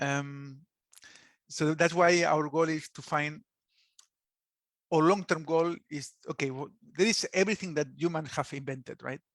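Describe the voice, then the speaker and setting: In a very clean recording with a silent background and a dry, close sound with no echo, a man with a Spanish accent and fairly high pitch speaks at a fairly slow pace with fairly even intonation and long, frequent pauses. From Spain. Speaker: app founder, former subsea engineer. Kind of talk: podcast interview answer.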